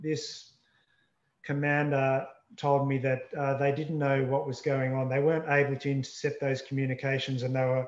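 A man speaks at a moderate pace in a monotone, flat intonation, with audible room echo. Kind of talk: interview answer. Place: home room. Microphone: video call.

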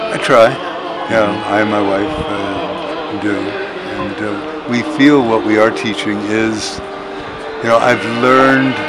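A man at a fairly slow pace with long, frequent pauses and ordinary pitch variation, over loud music in the background. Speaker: interviewee. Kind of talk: interview answer. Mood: warm, reflective, smiling. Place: open country.

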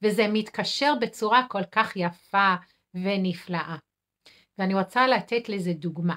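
Speaking very slowly with an English accent, a woman has a bright, sharp tone against a quiet background. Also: ordinary pitch variation. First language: English (speaking Hebrew). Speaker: nurse and food addiction counselor; healthy eating coach. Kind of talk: weekly live video talk. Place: home room. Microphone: phone near.

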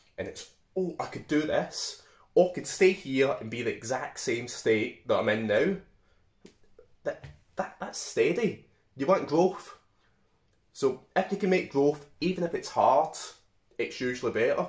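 The speech comes at a fairly slow pace with long, frequent pauses, with audible room echo and a quiet background. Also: man. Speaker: vlogger giving life advice. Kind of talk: casual vlog chat. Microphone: phone near.

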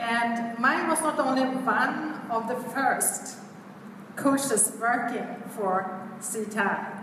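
A woman with a fairly high pitch and ordinary pitch variation speaks at a very slow pace. Noticeable background noise and audible room echo surround her voice. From Sweden. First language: Swedish. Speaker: event host and coach. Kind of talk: speaker introduction. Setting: stage with audience. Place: hall. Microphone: camera far.

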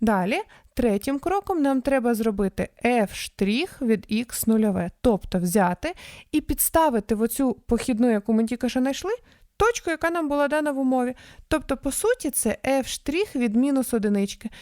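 A woman with a high pitch and a dark, mellow tone talks with lively intonation at a moderate pace. The recording is very clean, with a silent background. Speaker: math tutor. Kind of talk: tutorial. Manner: explanatory, friendly.

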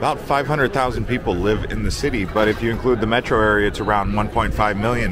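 At a moderate pace, a man speaks in a dry sound with no echo, with noticeable background noise behind him. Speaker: travel vlogger. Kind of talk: travel vlog narration. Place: street. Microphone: phone near.

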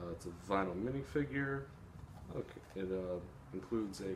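With a fairly low pitch and ordinary pitch variation, a man speaks at a fairly slow pace. Light background noise can be heard. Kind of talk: casual vlog chat. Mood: relaxed, cheerful. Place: home room. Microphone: phone near.

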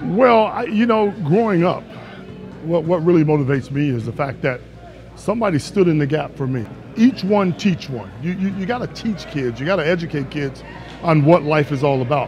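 Lively intonation from a man with a fairly high pitch at a moderate pace, with music in the background. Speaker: former basketball player, broadcaster. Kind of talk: interview answer. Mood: warm, earnest. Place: gym. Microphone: lapel.

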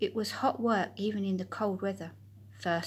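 The clip features a natural reading voice.

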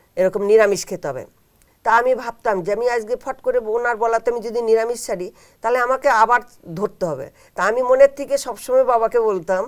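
This woman has a fairly high pitch and ordinary pitch variation. Hers is an unremarkable speaking voice. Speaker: housewife, spiritual practitioner. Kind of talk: interview testimony. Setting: studio.

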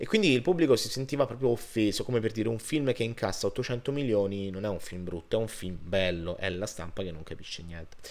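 A man talks at a fairly quick pace. He leaves hardly any pauses. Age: 30s. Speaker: film reviewer. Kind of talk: video review monologue. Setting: home recording on laptop. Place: home room. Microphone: webcam.

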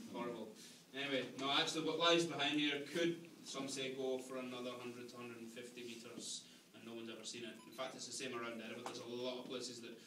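Amid audible room echo and noticeable background noise, a man speaks at a very fast pace with fairly even intonation. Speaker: ghost tour guide. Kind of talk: tour guide storytelling. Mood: dramatic, then wry humour. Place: tunnel cave. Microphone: camera far.

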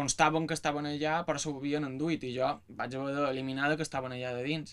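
Speaking at a fairly quick pace, a man with a fairly high pitch keeps a monotone, flat intonation. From Mallorca, Palma; Mallorca. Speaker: music student and researcher. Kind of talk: panel talk about research. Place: office. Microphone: camera far.

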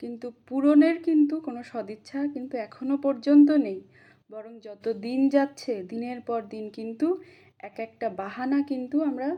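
A high-pitched woman speaks with a dark, mellow tone and ordinary pitch variation. Her loudness swings a lot against a quiet background. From West Bengal, India (Purba Bardhaman). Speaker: qualified teacher job candidate, protest activist. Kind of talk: appeal to fellow protesters. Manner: impassioned.

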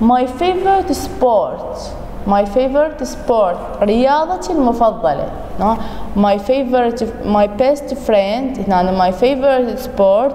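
A woman's high voice in an Iraqi accent, fairly slow, with lively intonation and very even loudness, plus audible room echo and noticeable background noise. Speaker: English teacher. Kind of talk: recorded lesson for pupils. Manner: repetitive, slow.

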